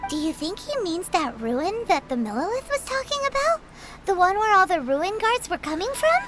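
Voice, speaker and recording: Over clear music in the background, a put-on character voice at an extremely high pitch makes very wide pitch swings at a moderate pace. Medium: video game. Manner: chatty, blunt, expressive.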